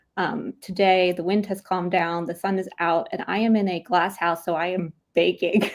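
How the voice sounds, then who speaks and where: Using an American accent, a woman talks at a moderate pace and medium pitch with hardly any pauses. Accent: very American. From Philadelphia, US. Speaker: podcast host. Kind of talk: casual chat. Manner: animated.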